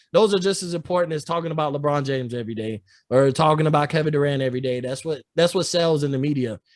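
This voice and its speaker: A man with ordinary pitch variation. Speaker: sports podcast host. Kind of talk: casual chat. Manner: loud; energetic.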